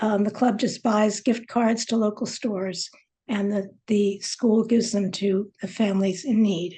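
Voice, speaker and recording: A woman's fairly high, somewhat breathy voice goes at a fairly slow pace with monotone, flat intonation. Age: 70s. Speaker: local historian speaker. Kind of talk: presentation. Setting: video call. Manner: halting.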